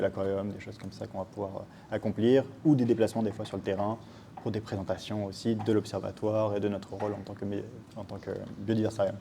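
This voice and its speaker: Fairly low in pitch, a man speaks with a dark, mellow tone and big swings in loudness. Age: 20s. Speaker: science educator. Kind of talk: interview. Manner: hesitant, many filler words.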